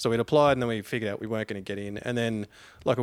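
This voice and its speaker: On a very clean recording with a silent background, a man with an Australian accent talks at a medium pitch with fairly even intonation. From Queensland, Australia. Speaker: long-distance swimmer. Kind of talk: casual chat.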